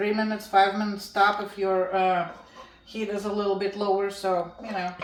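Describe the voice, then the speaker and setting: With a Russian accent, a woman speaks at a moderate pace in a monotone, flat intonation, with audible room echo and noticeable background noise. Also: medium pitch for a woman. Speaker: home cooking channel host. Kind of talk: cooking tutorial.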